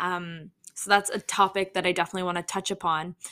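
A bright, sharp voice in a Canadian accent speaks in a flat monotone, on a very clean recording with a silent background. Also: woman. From Toronto, Canada. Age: 20s. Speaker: podcast host. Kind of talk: casual solo podcast monologue. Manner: frequent fillers (um, uh).

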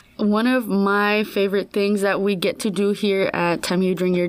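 At a moderate pace, a woman with a medium pitch and a normal speaking voice talks with an American accent. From San Antonio, Texas. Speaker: student orientation leader. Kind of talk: podcast interview.

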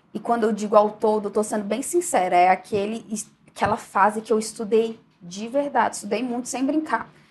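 Talking at a fairly quick pace, a woman with a fairly high pitch uses ordinary pitch variation over noticeable background noise. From Brasília, Brazil. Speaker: federal auditor and online course teacher. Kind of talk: interview.

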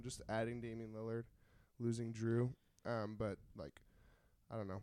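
At a fairly quick pace, a man speaks with a medium pitch and a playful tone. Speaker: podcast co-host. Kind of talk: casual chat. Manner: joking, playful.

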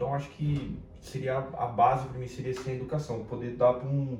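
A medium-pitched male voice comes through audible room echo, with noticeable background noise behind it. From São Paulo, Brazil (capital and interior). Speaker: sales professional and business partner. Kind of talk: casual chat.

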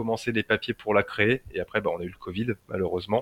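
A man talks in a plain, everyday voice, fairly low in pitch and with fairly even intonation. The sound is dry and close with no echo, against a quiet background. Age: 30s. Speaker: lightsaber and martial arts instructor. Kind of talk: casual interview.

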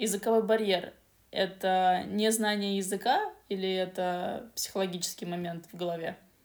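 Against noticeable background noise, a woman of medium pitch talks at a moderate pace with hardly any pauses, her intonation monotone and flat and her loudness swinging widely. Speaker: podcast co-host, English learning. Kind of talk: casual educational chat.

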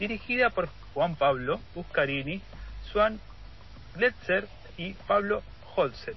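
A man's very slow speech, broken by long, frequent pauses. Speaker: music segment contributor. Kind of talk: music commentary segment.

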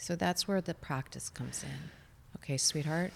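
A woman with an American accent speaks at a fairly low pitch in a very clean recording with a silent background. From US Midwest, Chicago. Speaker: mindfulness coach. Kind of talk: casual interview with guided meditation.

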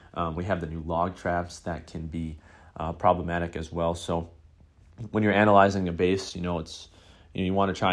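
In a very clean recording with a silent background, someone speaks at a fairly quick pace with a Western New York accent. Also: man. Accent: Western New York American. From US, Buffalo, New York. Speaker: gaming podcast host. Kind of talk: solo podcast commentary. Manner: hesitant with many fillers.

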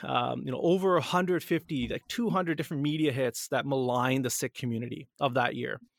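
Recorded very cleanly with a silent background and a dry, close sound with no echo, a man speaks at a fairly high pitch with ordinary pitch variation. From Canada. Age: 30s. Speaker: editor-in-chief and co-founder of a news outlet. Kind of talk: interview. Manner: halting, many fillers.

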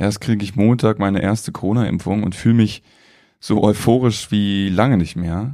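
In a very clean recording with a silent background, a man speaks at a fairly low pitch with a dark, mellow tone. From Lower Saxony, Germany (small town). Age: 20s. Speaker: podcast host. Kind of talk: casual monologue, personal podcast diary. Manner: animated, colloquial.

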